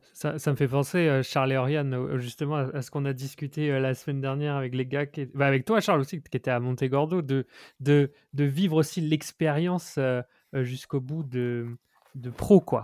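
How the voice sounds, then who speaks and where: Here a man talks at a moderate pace in a fairly high pitch. His intonation stays fairly even. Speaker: podcast host. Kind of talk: casual interview. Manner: informal, hesitant.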